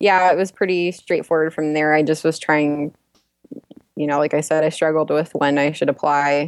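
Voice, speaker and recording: A woman speaks at a very deep, low pitch and a fairly slow pace. Her intonation is monotone and flat, with long, frequent pauses. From Texas, Dallas. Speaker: medical student. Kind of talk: interview.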